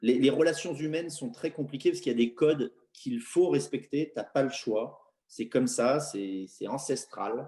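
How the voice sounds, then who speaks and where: At a moderate pace with hardly any pauses, a man speaks in a dark, mellow tone, his pitch fairly high and his pitch variation ordinary. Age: 30s. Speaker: football coach. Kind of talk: interview. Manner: halting, many repetitions.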